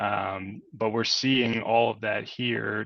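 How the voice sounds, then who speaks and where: With a slight Boston accent, a man speaks at a fairly low pitch in a bright, sharp tone with vocal fry. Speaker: industrial real estate broker. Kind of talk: webinar presentation. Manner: many fillers (um, uh).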